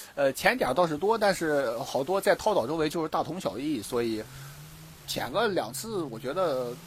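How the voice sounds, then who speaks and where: A man talks with a fairly high pitch. His pitch swings very widely. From Dalian, northeast China. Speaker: scuba diver and dive instructor. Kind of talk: casual interview chat. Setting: outdoors on a beach. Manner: hesitant with many fillers.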